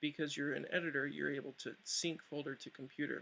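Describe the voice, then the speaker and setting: This man's voice is fairly high, with a bright, sharp tone and some vocal fry. His intonation stays monotone and flat. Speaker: tech support staff giving a tutorial. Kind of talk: screen-recorded software tutorial. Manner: fast.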